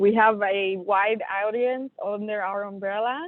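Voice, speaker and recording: A woman speaks in a Puerto Rican accent at a fairly high pitch. Her pace is very slow. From Puerto Rico. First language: Spanish. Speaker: soil health specialist. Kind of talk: webinar presentation. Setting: remote call from an airport. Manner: hesitant, many fillers.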